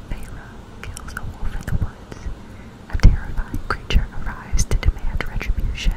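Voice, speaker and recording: The voice is whispering. It moves at a moderate pace. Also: woman. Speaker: book video creator. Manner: whispered reading, very close mic. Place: home room. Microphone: studio mic.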